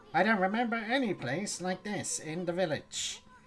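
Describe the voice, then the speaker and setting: A put-on character voice carries the delivery. It sits at a middle pitch and moves at a moderate speed. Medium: game stream. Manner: brash, boastful.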